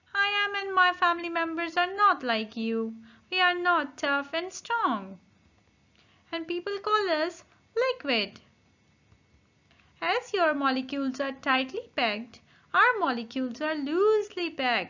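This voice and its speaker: A woman's put-on character voice, extremely high in pitch, with long, frequent pauses. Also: moderate pace. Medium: read story. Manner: friendly, explanatory.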